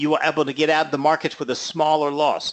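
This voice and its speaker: A man speaks in a normal speaking voice at a moderate pace, his pitch fairly high, with a quiet background. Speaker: trading educator. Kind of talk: lecture.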